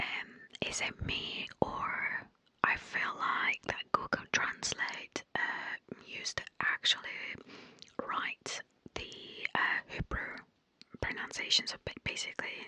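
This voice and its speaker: A soft-spoken woman whispers at a very slow pace with long, frequent pauses, the sound dry with no echo. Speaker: language content creator. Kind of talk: soft casual commentary, ASMR-like. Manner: soft musing ASMR whisper. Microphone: studio mic.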